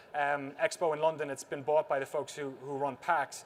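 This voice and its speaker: A man talking at a very fast pace in a strong Irish accent. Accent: thick Irish. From Ireland, Waterford (south). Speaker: documentary filmmaker, former games journalist. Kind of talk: conference talk. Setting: stage with audience.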